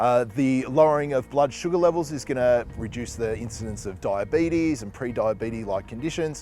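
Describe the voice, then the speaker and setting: Over background music, a man with an Australian accent talks at a fairly quick pace with hardly any pauses. His pitch is medium with ordinary variation, and his loudness swings widely. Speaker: fitness trainer. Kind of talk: health explainer.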